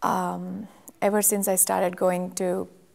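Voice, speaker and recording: A woman is speaking. She has a Telugu accent. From India, Telugu-speaking. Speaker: church member giving testimony. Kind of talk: testimony. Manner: halting, many fillers.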